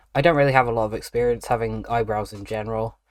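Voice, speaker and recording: This man has a British accent and a medium pitch. His intonation is monotone and flat. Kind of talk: audio diary, casual talk.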